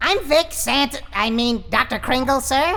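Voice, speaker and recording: A cartoonish character voice, female-sounding, at a moderate pace. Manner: eager, stammering.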